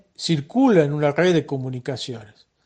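A man speaks in a normal speaking voice, pitched fairly high, with ordinary pitch variation. His pace is moderate. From Argentina, Salta. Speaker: software engineer. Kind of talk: recorded voice messages answering interview questions.

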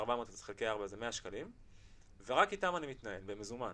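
A man with an unremarkable speaking voice and a medium pitch talks at a fairly quick pace with lively intonation. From Israel, Beersheba. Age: 20s. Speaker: financial advisor, company CEO. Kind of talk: podcast interview.

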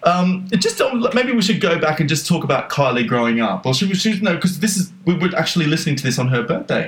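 Here a man speaks with an Australian accent at a very fast pace. His pitch is high. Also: lively intonation. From Australia, North Queensland. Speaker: podcast co-host. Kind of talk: casual chat.

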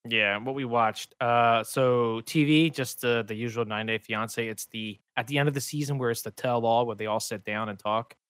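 On a very clean recording with a silent background, a man speaks in an ordinary speaking voice at a medium pitch. His pace is moderate, his intonation fairly even, with hardly any pauses. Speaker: podcast co-host. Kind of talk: casual chat.

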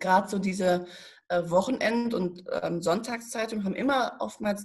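A somewhat breathy woman at a fairly slow pace, with ordinary pitch variation. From Germany, Paderborn area (Westphalia). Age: 30s. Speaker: journalist and press consultant. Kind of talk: podcast interview.

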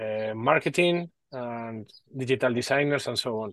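In a Spanish accent, a man talks at a fairly slow pace with ordinary pitch variation, the sound dry and close with no echo against a quiet background. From northern Spain, Basque Country. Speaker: AI enthusiast and developer, telecommunications engineer. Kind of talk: casual interview chat. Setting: video call, from a garden house. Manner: halting, with many repeated words and fillers.

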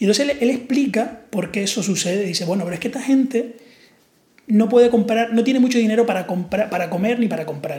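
Through noticeable background noise, a man with a Canarian accent talks very fast, his pitch varying in an ordinary way. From Canary Islands. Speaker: podcast host. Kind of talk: casual chat.

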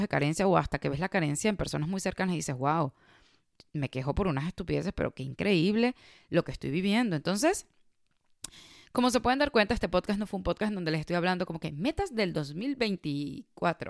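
A woman with a plain, everyday voice and fairly low pitch talks at a fairly quick pace with lively intonation, the sound dry and close with no echo and the recording very clean over a silent background. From Venezuela. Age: 30s. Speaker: podcast host. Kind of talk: casual monologue.

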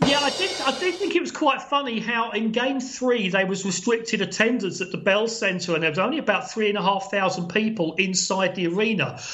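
Fairly quick and with hardly any pauses, a man speaks in a high pitch with an English accent and lively intonation. Audible room echo and noticeable background noise surround him. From England. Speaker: sports journalist and broadcaster. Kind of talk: casual chat. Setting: remote call from abroad.

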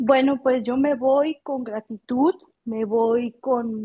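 Flat, monotone intonation from a woman with a somewhat breathy voice. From Mexico. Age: 30s. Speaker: audio room participant. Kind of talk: personal testimony.

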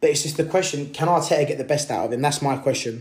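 A man's somewhat breathy voice moves with ordinary pitch variation. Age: 20s. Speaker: football podcast host. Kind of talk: solo podcast monologue. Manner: hesitant, many fillers.

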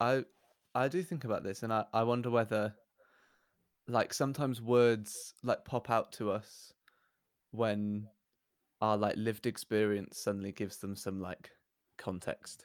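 In a very clean recording with a silent background and a dry, close sound with no echo, a man with a southern English accent talks at medium pitch and a moderate pace, with ordinary pitch variation and long, frequent pauses. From southern England. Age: 20s. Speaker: church worship and outreach worker. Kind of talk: casual chat.

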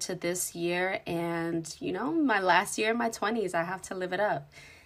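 A woman speaks in a normal speaking voice. Her medium pitch varies in an ordinary way. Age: 20s. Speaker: podcast host. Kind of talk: casual chat.

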